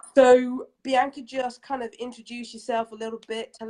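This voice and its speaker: A woman with a London accent speaks at a moderate pace. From England, London. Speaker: interview host. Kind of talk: interview.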